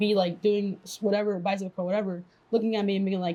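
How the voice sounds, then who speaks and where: A woman speaks at a very fast pace. Her voice sits at medium pitch with a dark, mellow tone. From immigrated to the US as a child. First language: not English. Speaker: podcast co-host and fitness trainer. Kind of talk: casual chat. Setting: podcast recording with mics and camera.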